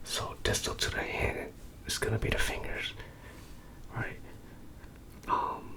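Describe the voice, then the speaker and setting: A man whispers at a fairly slow pace, with long, frequent pauses and noticeable background noise. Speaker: ASMR sleep-learning channel host. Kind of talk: educational ASMR lecture for sleep, reading a textbook. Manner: casual, conversational.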